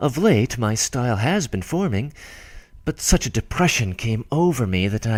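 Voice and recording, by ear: The clip is reading aloud in a natural voice.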